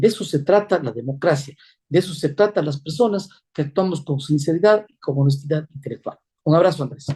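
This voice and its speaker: At a fairly quick pace, a man speaks in a fairly high, dark, mellow voice with ordinary pitch variation. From Ecuador. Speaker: presidential candidate, former judge. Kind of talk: political interview. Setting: interview program. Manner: emphatic, measured.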